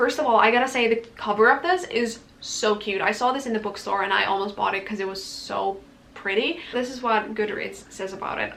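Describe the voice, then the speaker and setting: A woman's fairly high voice with a non-native accent at a fairly quick pace, over noticeable background noise. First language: not English. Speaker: book youtuber. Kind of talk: casual book talk vlog. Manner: casual, filler-heavy.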